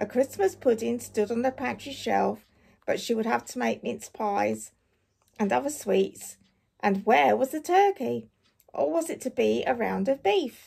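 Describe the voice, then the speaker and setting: Raspy and in a put-on character voice, a woman speaks at a moderate pace. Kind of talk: audiobook reading. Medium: read story. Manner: measured, warm.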